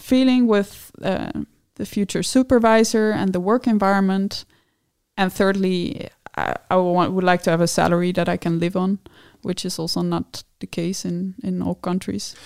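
With a Dutch accent, a woman speaks at medium pitch and a moderate pace, her intonation fairly even. The recording is very clean and silent behind her, with a dry, close sound and no echo. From Netherlands. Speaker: PhD student in food science. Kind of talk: interview. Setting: studio.

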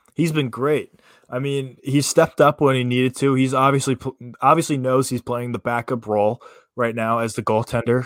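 At a fairly quick pace, a man with a normal speaking voice and medium pitch talks with fairly even intonation. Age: 20s. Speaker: sports podcast co-host, college baseball player. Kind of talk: casual sports talk. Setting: live stream.

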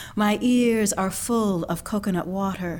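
The intonation is fairly even. It is a normal speaking voice. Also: woman. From Canada, Ontario. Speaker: poet and actress. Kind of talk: poetry reading.

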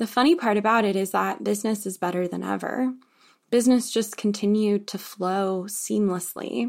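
A woman's ordinary speaking voice, medium in pitch, at a moderate pace, on a very clean recording with a silent background. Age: 20s. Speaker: podcast host. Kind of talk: solo monologue.

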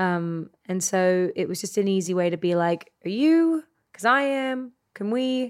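This woman talks at a fairly slow pace with an Australian accent. Her voice sits at a medium pitch and swings very widely up and down. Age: 30s. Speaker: actor. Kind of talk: casual interview chat.

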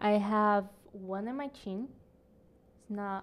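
A woman with a Portuguese accent speaks at a fairly slow pace, her medium-pitched voice keeping a fairly even intonation. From Brazil. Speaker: podcast guest. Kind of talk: casual chat.

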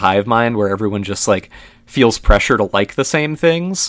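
A man with an ordinary speaking voice, lively intonation and a fairly quick pace. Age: 20s. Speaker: drummer. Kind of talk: casual chat.

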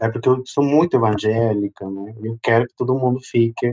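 A man with a Spanish accent, in a dry, close sound with no echo. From Peru. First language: Spanish (speaking Portuguese). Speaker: drag performer and migrant. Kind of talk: interview testimony. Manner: animated.

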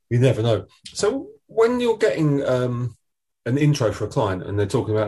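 A man talks at a fairly quick pace with an Essex accent. The background is quiet. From Essex, England. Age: 40s. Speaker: podcast host, agency owner. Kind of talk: interview.

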